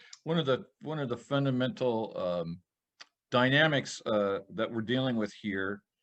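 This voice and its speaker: A man with a normal speaking voice talks at a medium pitch. His pace is fairly slow and his intonation lively. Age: 60s. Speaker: podcast co-host. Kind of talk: casual chat.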